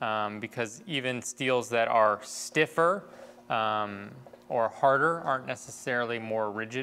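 A man talks at a moderate pace in a bright, sharp tone with fairly even intonation. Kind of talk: tutorial. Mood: relaxed, slightly nervous humor. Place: workshop. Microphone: lapel.

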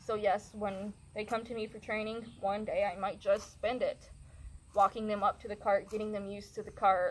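Her intonation monotone and flat, a woman talks at a moderate pace. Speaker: horse trainer. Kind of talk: tutorial. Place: open country.

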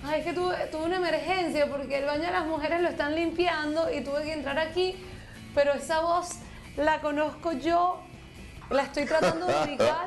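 A woman's high-pitched voice at a moderate pace, with clear music in the background. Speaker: comedy sketch host. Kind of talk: comic scripted banter. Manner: excited. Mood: embarrassed, playful.

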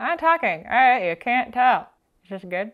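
Using a playful, put-on character voice pitched high, a woman speaks at a moderate pace. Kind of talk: casual vlog chat. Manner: talking with barely moving lips, playful. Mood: playful, smiling, outtake-like.

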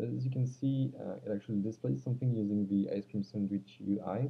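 A man with a non-native accent speaks at a fairly slow pace, his fairly low voice rising and falling in a lively way. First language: not English. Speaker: Android developer. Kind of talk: casual tech demo narration. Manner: hesitant, many filler sounds. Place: home room. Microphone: webcam.

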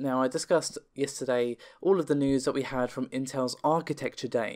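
A man talks at a fairly quick pace, medium in pitch with ordinary variation. The recording is very clean, with a silent background.

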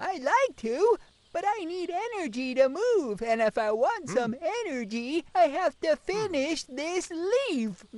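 This is a cartoonish character voice set at a high pitch. It moves at a fairly slow pace with very wide pitch swings. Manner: slow, unbothered.

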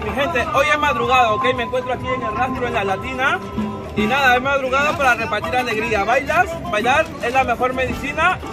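Over loud background music, a man talks very fast with ordinary pitch variation. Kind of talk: casual vlog chat. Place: market.

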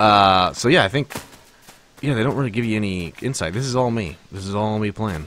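A man speaks at a fairly quick pace in a fairly low pitch, with an animated tone. The sound is dry with no echo, over light background noise. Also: ordinary pitch variation. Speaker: gaming streamer. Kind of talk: casual chat.

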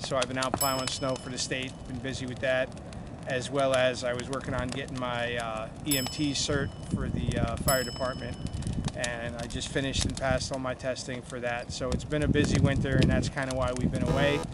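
A man talks fairly quickly amid loud background noise, the sound dry with no echo. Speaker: small farm owner vlogger. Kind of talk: casual vlog chat. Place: open country.

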